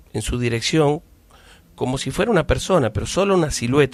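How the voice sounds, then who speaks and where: Lively intonation runs through speech at a moderate pace. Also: man. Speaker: radio host. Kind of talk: radio horror story narration.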